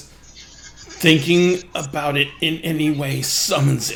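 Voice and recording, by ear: A man in a put-on character voice, croaky, raspy and hoarse, speaks very slowly at a fairly high pitch with monotone, flat intonation.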